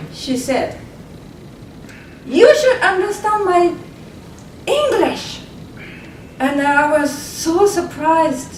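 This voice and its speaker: At a very slow pace with long, frequent pauses, a woman speaks at an extremely high pitch and swings it very widely. Noticeable background noise and audible room echo surround her. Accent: Japanese. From Japan. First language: Japanese. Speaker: community pioneer. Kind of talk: panel discussion. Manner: halting.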